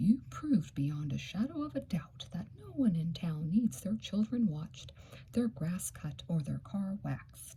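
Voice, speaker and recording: Someone uses a gruff, put-on character voice at a middle pitch and a moderate pace. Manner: stern, courtroom-like.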